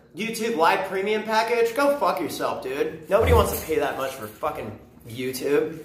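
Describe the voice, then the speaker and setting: This man has a high-pitched voice and an animated tone at a moderate pace. Noticeable background noise and audible room echo surround him. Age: young. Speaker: vlogger. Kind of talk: casual rant to camera.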